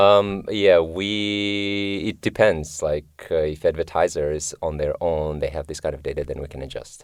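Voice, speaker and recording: A man with a Kyrgyz accent at a fairly slow pace, with hardly any pauses and a quiet background. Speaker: machine learning engineer. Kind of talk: interview. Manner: hesitant, many fillers.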